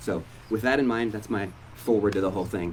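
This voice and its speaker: With an American accent, a man talks very fast at a fairly low pitch with ordinary pitch variation. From Oregon, US Northwest. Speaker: pastor. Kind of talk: hosted live interview event. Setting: church hall with live audience.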